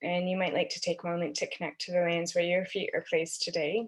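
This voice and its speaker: A woman's medium-pitched voice with fairly even intonation, over a quiet background. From Canada. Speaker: systems thinking consultant. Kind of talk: online workshop presentation. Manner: many filler ums, halting.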